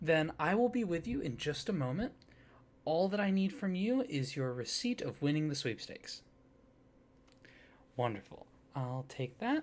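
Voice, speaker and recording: A soft-spoken man with a fairly high pitch talks at a moderate pace, his pitch swinging very widely. He leaves long, frequent pauses. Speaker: ASMR roleplay performer, card shop or company clerk character. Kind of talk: customer service roleplay greeting. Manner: soft-spoken, friendly.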